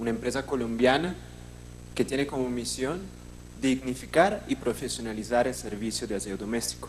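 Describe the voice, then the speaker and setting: Here a man talks with a non-native accent. His pace is moderate. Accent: foreign accent in Spanish. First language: not Spanish (speaking Spanish). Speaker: company manager and co-founder. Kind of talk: formal presentation at public hearing.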